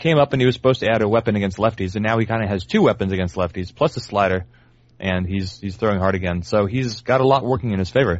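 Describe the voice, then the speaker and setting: With an American accent, a man talks at a very fast pace. His pitch is fairly low, with ordinary variation. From US South, New Orleans. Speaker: baseball analytics writer. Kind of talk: casual chat.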